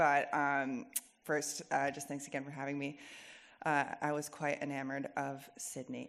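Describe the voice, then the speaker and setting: On a very clean recording with a silent background, a woman with an American accent speaks at a fairly slow pace. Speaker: event moderator. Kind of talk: event introduction.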